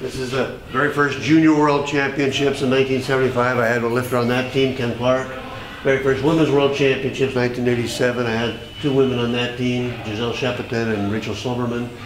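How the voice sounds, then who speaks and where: A man with an American accent speaks at a very fast pace in a monotone, flat intonation. The recording has noticeable background noise and audible room echo. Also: medium pitch for a man. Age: 70s. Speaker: weightlifting coach. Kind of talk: casual guided tour. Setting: basement memorabilia room. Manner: halting.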